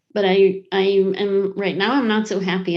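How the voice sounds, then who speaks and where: With an unremarkable speaking voice, a woman holds a moderate pace and fairly even intonation. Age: 60s. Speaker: ceramic artist and professor. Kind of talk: interview.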